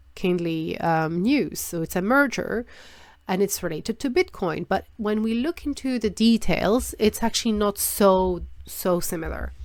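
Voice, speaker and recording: A woman of medium pitch with a non-native accent speaks in lively intonation on a very clean recording with a silent background. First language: not English. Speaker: trading analysis youtuber. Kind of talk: market analysis tutorial. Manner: halting, searching for words; many filler words.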